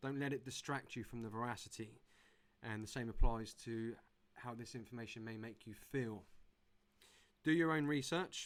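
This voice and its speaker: A man with an English accent speaks at a medium pitch and a moderate pace, with ordinary pitch variation. He takes long, frequent pauses, and his loudness swings widely. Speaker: conference speaker. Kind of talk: presentation.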